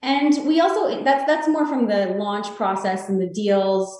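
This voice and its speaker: Speaking with a Canadian accent, a woman talks at a very slow pace. Her medium-pitched voice has lively intonation. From Canada, Toronto. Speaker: real estate sales executive. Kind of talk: interview.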